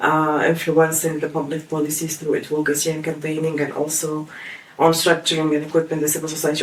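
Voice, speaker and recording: The pace is fairly quick. Noticeable background noise can be heard. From Tunisia, Kasserine (center west). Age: 20s. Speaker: human rights activist. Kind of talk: interview testimony. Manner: hesitant, many fillers.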